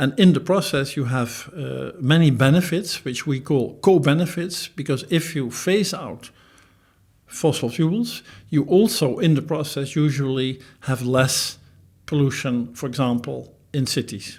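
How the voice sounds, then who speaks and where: A somewhat breathy man's voice, fairly high in pitch, at a fairly slow pace with ordinary pitch variation, on a very clean recording with a silent background. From Netherlands. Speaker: professor. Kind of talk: interview.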